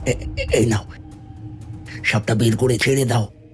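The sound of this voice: Over clear background music, a man at a medium pitch uses a cartoonish character voice at a fairly quick pace.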